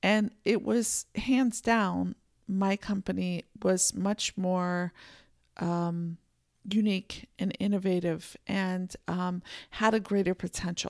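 In a very clean recording with a silent background and a dry, close sound with no echo, a woman speaks very slowly at a medium pitch with fairly even intonation. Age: 50s. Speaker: podcast host and personal empowerment coach. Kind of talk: solo podcast monologue.

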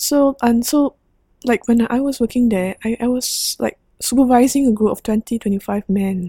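Somewhat breathy and dark, mellow in tone, a woman's voice shows ordinary pitch variation in a dry, close sound with no echo. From Singapore. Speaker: nurse and humanitarian aid worker. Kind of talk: interview conversation.

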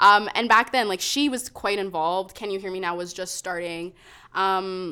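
At a moderate pace and medium pitch, a woman speaks with ordinary pitch variation on a very clean recording with a silent background. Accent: western Canadian. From Calgary, Canada. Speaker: poet and open mic host. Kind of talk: casual chat.

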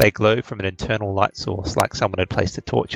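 The speaker is a man. His recording sounds dry and close, free of any echo. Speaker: dungeon master and show host. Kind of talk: tabletop role-playing game session, narrating. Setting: online stream with audio and video. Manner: halting, with many filler words.

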